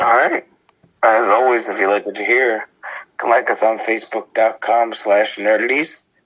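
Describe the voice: A man's put-on character voice, raspy and hoarse, at medium pitch, monotone and flat, at a moderate pace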